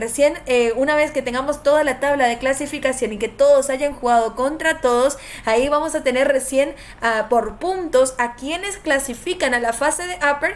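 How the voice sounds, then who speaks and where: Against noticeable background noise, a woman talks at a moderate pace in a high voice with an animated tone and ordinary pitch variation. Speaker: game streamer and tournament caster. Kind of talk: live stream commentary.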